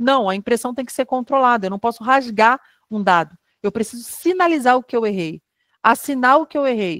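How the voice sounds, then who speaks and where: A woman with a normal speaking voice talks at a moderate pace and fairly high pitch in a dry, close sound with no echo. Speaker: lecturer on quality control. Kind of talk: online lecture. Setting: online webinar.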